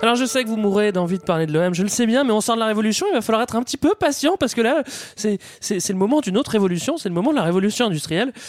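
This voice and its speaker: A man talks at a very fast pace and high pitch, with lively intonation and very even loudness. Noticeable background noise is present. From Paris region (Val-d'Oise). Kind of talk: casual chat.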